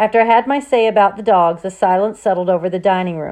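What you hear is plain reading aloud.

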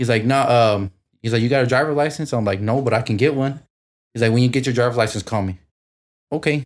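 Speaking very fast with an American accent, a man uses ordinary pitch variation and leaves long, frequent pauses on a very clean recording with a silent background. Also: medium pitch for a man. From south side of a US city. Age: 20s. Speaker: young parent. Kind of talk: casual chat.

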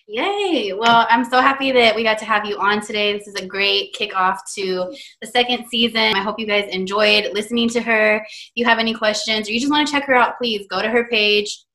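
A woman speaks fairly quickly in an ordinary speaking voice, fairly high in pitch, with ordinary pitch variation. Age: 20s. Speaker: podcast host. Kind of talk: casual interview.

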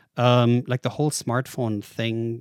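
A man with a German accent talks very fast at a medium pitch, the sound dry and close with no echo. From Germany. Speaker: tech investor and author. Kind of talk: interview.

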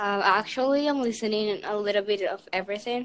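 A woman has a normal speaking voice at a medium pitch. She keeps a moderate pace with ordinary pitch variation. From Canada, Vancouver. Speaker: podcast guest. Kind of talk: casual chat.

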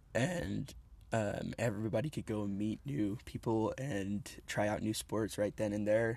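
The man has a normal speaking voice, pitched fairly low with ordinary pitch variation, and he talks at a fairly slow pace. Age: 20s. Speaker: podcast co-host, parkour athlete. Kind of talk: casual chat. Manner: casual, laughing.

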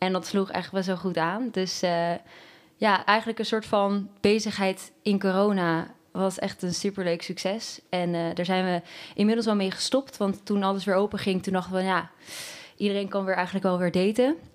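A plain, everyday voice moves at a moderate pace. The recording is very clean, with a silent background. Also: woman, medium pitch for a woman, fairly even intonation. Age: 24. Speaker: university student and startup founder. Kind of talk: casual chat.

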